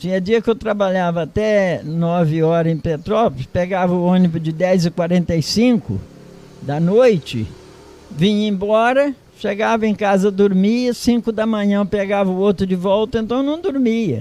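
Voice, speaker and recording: A man with a high pitch talks at a moderate speed. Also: ordinary pitch variation. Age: 80s+. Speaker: retired farmer. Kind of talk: interview.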